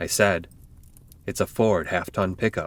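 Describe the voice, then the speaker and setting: At a moderate pace, a man speaks in a put-on character voice. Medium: read story. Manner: stammering when upset.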